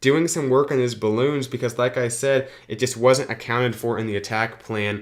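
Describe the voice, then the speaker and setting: With a normal speaking voice, a man talks at medium pitch and a moderate pace, his intonation fairly even, on a very clean recording with a silent background. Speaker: gaming youtuber. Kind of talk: gameplay commentary.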